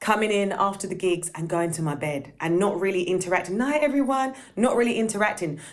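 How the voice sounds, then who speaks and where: A woman speaks at a medium pitch in an animated tone with lively intonation and hardly any pauses. Noticeable background noise sits behind her. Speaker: session singer. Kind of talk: casual chat. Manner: loud.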